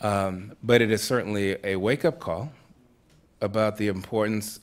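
A man speaks with an American accent at a moderate pace. His voice sits fairly low, and his intonation stays fairly even. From Massachusetts. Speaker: Baptist minister and foundation program director; Baptist minister. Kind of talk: panel discussion. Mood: thoughtful, earnest. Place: stage. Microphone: studio mic.

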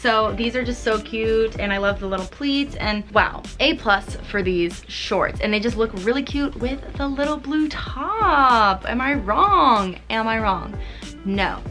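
A woman at a fairly slow pace, with clear music in the background. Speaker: fashion vlogger. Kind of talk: casual vlog chat. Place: home room. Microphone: camera far.

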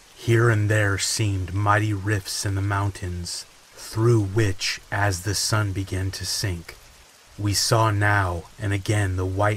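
Against noticeable background noise, a man with a fairly low pitch speaks very slowly in a soothing, theatrical tone with monotone, flat intonation. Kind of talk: dramatic audiobook-style narration of a gothic novel, read aloud with rain sounds. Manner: slow, hushed and atmospheric, building suspense with a measured, theatrical pace; soothing and relaxing, as promised by the rain-backed narration.

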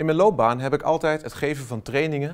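The background is quiet. A man talks at a fairly quick pace. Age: 40s. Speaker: software trainer and consultant; software trainer. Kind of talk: company promo self-introduction. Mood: warm, enthusiastic. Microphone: lapel.

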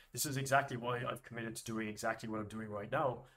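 A man with an Irish accent speaks at a very fast pace. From Ireland. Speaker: business coach. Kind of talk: monologue tutorial to camera. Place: home room.

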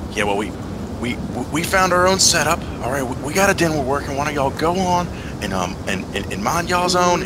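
Through loud background noise, a man puts on a gruff character voice with a fairly high pitch at a moderate pace. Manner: gruff, defensive, shooing.

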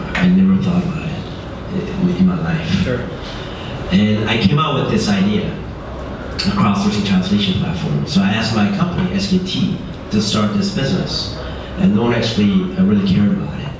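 A man talks at a moderate pace with a fairly low voice and very wide pitch swings. Strong room echo and noticeable background noise surround him. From Korea, raised in Middle East and abroad. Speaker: startup founder. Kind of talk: on-stage interview. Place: hall.

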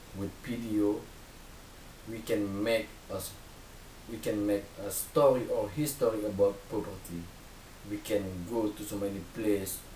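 A man with an Indonesian accent talks at a fairly slow pace and a fairly low pitch, with fairly even intonation and long, frequent pauses. Audible room echo and light background noise surround him. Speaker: volunteer. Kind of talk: personal testimony to camera; testimonial talk to camera. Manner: halting, non-native phrasing. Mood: earnest, hopeful. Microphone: webcam.

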